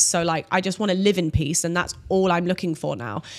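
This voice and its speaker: Over a silent background on a very clean recording, a woman talks in a plain, everyday voice of medium pitch with fairly even intonation. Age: 30s. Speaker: OnlyFans creator and former personal trainer. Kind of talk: casual interview chat. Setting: studio.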